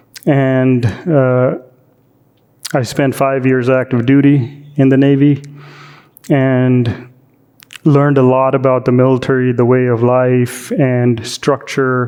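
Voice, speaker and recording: Speaking very slowly with long, frequent pauses, a man with an American accent and a medium pitch keeps a monotone, flat intonation at a very even loudness. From India, then US from age 14. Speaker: doctor. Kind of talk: interview. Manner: hesitant, many fillers.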